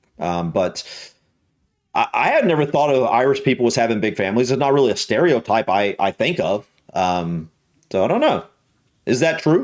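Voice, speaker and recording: In a Southern US accent, a man talks at a medium pitch with vocal fry, very wide pitch swings, very even loudness and long, frequent pauses, on a very clean recording with a silent background. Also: moderate pace. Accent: Southern American. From US South. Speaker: YouTube reactor. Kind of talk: reaction video commentary. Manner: hesitant, many fillers and repetitions.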